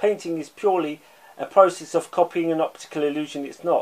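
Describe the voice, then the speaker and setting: This man has a high pitch and fairly even intonation. He talks at a moderate pace. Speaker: art commentator. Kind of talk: angry rant; video essay lecture. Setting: online video. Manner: emphatic, insistent, scornful; repeats words, halting. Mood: critical, passionate. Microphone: phone near.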